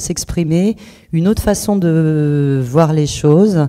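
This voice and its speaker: A woman's fairly low voice with a dark, mellow tone and ordinary pitch variation. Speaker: author. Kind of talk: interview. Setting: public book presentation. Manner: halting, many fillers and repetitions.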